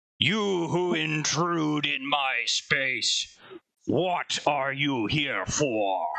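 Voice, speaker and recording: A booming, raspy put-on character voice with lively intonation at a very slow pace. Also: man, fairly high pitch for a man, very even loudness. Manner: commanding, demanding.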